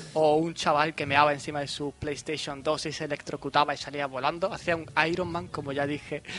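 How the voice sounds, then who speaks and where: A man talks at a fairly high pitch. His pace is fairly quick. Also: hardly any pauses. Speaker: podcast host. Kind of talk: casual chat. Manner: animated.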